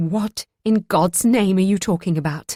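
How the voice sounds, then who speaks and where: Strained and at a medium pitch, a female-sounding put-on character voice moves at a moderate pace. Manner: controlled anger.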